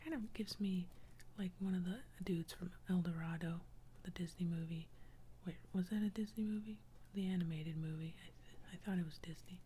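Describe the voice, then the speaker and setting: With light background noise behind it, the voice moves at a fairly quick pace broken by long, frequent pauses. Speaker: ASMR artist and doodler. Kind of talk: whisper ASMR drawing video, narrating while doodling. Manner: casual, friendly, chatty.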